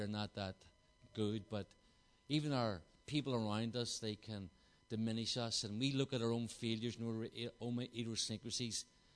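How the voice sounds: With a Belfast accent, a man speaks at a medium pitch and a moderate pace in a fairly bright tone. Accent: Northern Irish, Belfast.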